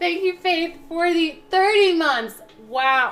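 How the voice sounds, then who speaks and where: A high-pitched woman speaks at a very slow pace. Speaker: livestreamer cooking on stream. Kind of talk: casual livestream chat while baking. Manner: animated.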